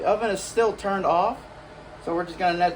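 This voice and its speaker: There is noticeable background noise as a man talks. His pitch varies in an ordinary way. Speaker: history hobbyist and civil war reenactor. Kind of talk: cooking tutorial. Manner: halting, with self-described stuttering; casual.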